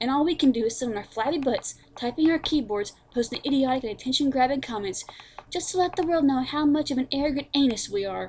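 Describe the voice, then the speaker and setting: A woman speaks at a very fast pace in a high voice. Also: ordinary pitch variation. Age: young. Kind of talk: angry rant to camera.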